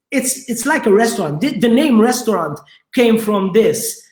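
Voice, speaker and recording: This man speaks with a Maltese accent. His pitch is high. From Malta. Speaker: restaurateur. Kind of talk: interview. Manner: halting, many repetitions.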